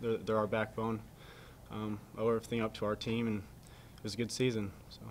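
This man talks at a fast pace with a fairly low pitch. His intonation is monotone and flat.

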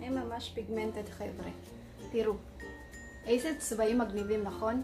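Clear music plays behind a woman with a non-native accent. Her pitch is fairly high and her intonation monotone and flat. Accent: non-native Hebrew. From Philippines. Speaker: caregiver; beauty vlogger. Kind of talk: casual beauty review to camera. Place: home room. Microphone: phone near.

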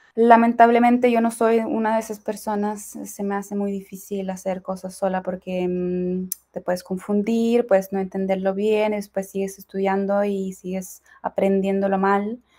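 A woman speaks at a fairly slow pace in a flat monotone, her medium-pitched voice dark and mellow. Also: hardly any pauses, quiet background. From Ukraine. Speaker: Spanish translator and language learner; interview guest. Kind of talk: interview. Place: home room.

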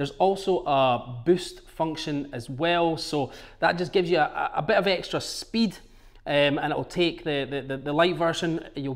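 A man speaks with ordinary pitch variation against a quiet background. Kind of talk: product walkthrough. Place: shop.

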